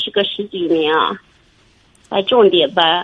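This is an unremarkable speaking voice from a woman. She talks at a moderate pace with ordinary pitch variation. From Shanxi. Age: 50s. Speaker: primary school teacher, caller. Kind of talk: phone-in advice call. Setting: phone call.

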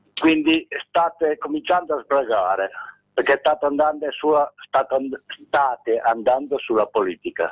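In a dry, close recording with no echo, a man with an ordinary speaking voice and fairly high pitch talks at a moderate pace with ordinary pitch variation. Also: very even loudness. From Reggio Emilia, Italy. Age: 60s. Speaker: caller. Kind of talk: call-in complaint.

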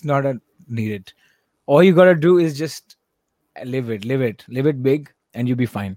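The tone is dark and mellow, with lively intonation and big swings in loudness. Long, frequent pauses break up the speech, and the sound is dry and close with no echo. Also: man, medium pitch for a man. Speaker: music producer. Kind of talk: casual chat.

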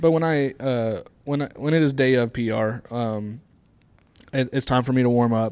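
At a moderate pace, a man talks in a normal speaking voice with a medium pitch and fairly even intonation. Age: 30s. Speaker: fitness podcast co-host. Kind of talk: casual chat. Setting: gym room studio.

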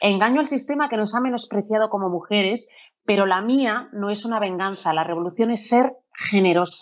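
A woman speaks in a normal speaking voice at a medium pitch, at a moderate pace and with ordinary pitch variation. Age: 40s. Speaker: presenter and journalist. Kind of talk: panel moderation.

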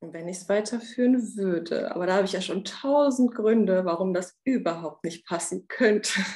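With hardly any pauses, a woman speaks in an ordinary speaking voice at medium pitch, with ordinary pitch variation. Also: moderate pace. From Romania, raised in Germany from age 7. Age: 30s. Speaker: coaching client, bank clerk. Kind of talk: coaching session.

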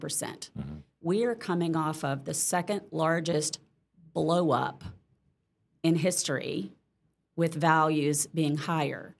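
A woman with an American accent speaks at a very deep, low pitch with vocal fry. Her intonation stays fairly even. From Mississippi, US South. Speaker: real estate agent. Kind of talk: casual interview.

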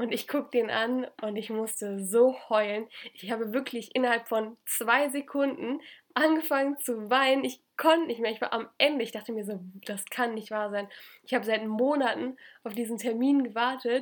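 At a moderate pace, a woman speaks with a fairly high pitch and fairly even intonation over a silent background in a very clean recording. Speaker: podcast co-host, former exchange student. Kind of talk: casual chat.

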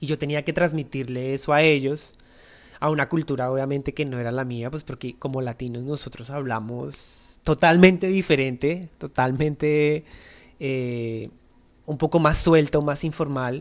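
This man has an unremarkable speaking voice, fairly high in pitch, with fairly even intonation at a fairly slow pace. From Colombia, Bogotá. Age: 30s. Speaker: dancer and dance agency owner. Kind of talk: interview.

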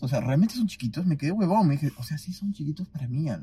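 This man's voice sits high. His intonation moves in a lively way. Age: 20s. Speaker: podcast host. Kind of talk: casual chat. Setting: recorded at night at a beach house.

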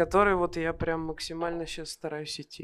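A woman's fairly low, monotone, flat voice at a fairly quick pace. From Kovrov, Russia. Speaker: aspiring singer, audience member. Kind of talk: interview on stage. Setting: bar stage with live audience.

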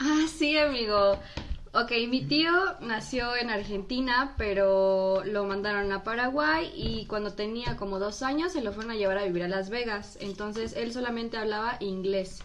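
The intonation is lively and the pace fairly slow. Audible room echo and noticeable background noise are present. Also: woman, fairly high pitch for a woman. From Mexico (born in US, raised in Mexico from six months). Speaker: guest, friend of the hosts. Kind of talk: casual chat. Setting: studio.

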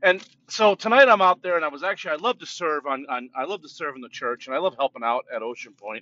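Talking at a very fast pace with hardly any pauses, a man with an American accent uses a fairly high pitch, very wide pitch swings and big swings in loudness. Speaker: pastor. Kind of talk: informal sermon talk with prayer. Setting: in a car. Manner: loud, jovial, talkative.

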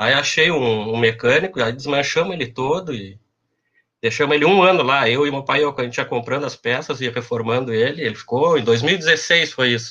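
A man talks at a moderate pace with a bright, sharp tone. The background is quiet. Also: medium pitch for a man, ordinary pitch variation. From Pelotas, southern Brazil. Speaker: university administrative staff. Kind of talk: casual chat.

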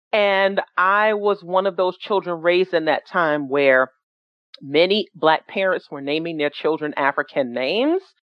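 A woman with an unremarkable speaking voice and an American accent speaks at a fairly slow pace. Her pitch is fairly low, with ordinary variation. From New York City (Jamaica, Queens). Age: 40s. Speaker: founder of an atheist organization. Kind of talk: presentation.

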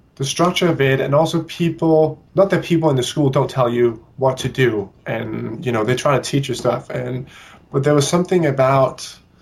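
A man speaks at a medium pitch with a Danish accent. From Denmark, Copenhagen. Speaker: ballet dancer. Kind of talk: interview.

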